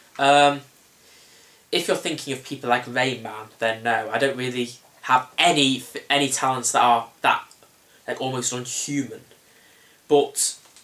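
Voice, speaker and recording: A man talks fairly slowly with fairly even intonation and long, frequent pauses, over noticeable background noise. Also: medium pitch for a man. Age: young. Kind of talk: interview answer.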